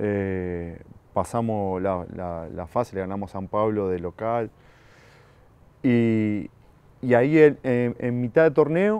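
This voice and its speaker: Pausing long and often, a man speaks in a dark, mellow tone with ordinary pitch variation. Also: dry sound with no echo. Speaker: interview guest. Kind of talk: interview answer. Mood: relaxed storytelling. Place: garden. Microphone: lapel.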